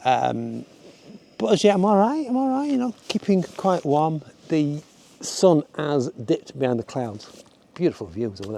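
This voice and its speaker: With a Yorkshire accent, a man speaks in a fairly high pitch with a dark, mellow tone and very wide pitch swings. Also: moderate pace. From Yorkshire, northern England. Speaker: hiking and photography vlogger. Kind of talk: casual vlog monologue. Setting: outdoors on a mountain hike. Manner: casual, hesitant with fillers.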